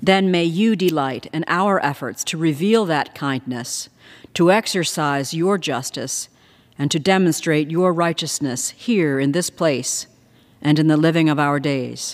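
A woman with an American accent has a very deep, low pitch and ordinary pitch variation. She speaks at a fairly slow pace against a quiet background. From United States. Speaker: House chaplain. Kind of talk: formal prayer read in Congress. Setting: House chamber, congressional setting. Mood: solemn, measured. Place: hall. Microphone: podium.

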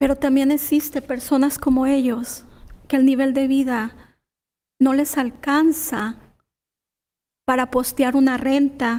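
A woman's voice sits high in pitch, with a dark, mellow tone and monotone, flat intonation. She moves at a moderate pace, broken by long, frequent pauses. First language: Spanish. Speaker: tenant activist. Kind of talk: public comment. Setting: city council meeting.

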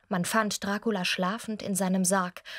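Moderate-paced speech from a woman, set against a quiet background. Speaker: voice actress. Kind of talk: humorous film recap reading. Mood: wry, humorous narration. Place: studio. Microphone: studio mic.

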